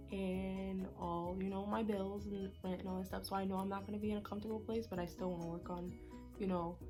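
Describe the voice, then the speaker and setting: With music in the background, a woman talks at a fairly quick pace with hardly any pauses and very even loudness. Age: 20s. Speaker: college student and cosmetics business owner. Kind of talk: casual talk to camera.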